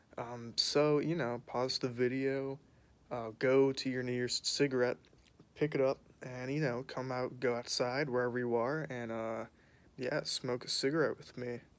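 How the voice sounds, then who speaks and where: A man speaks quietly at a moderate pace, his medium-pitched voice flat and monotone. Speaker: vlogger. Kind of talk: casual chat. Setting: outdoors. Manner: hesitant, filler-heavy.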